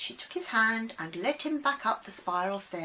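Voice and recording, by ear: The reading is aloud and natural in voice, with lively intonation.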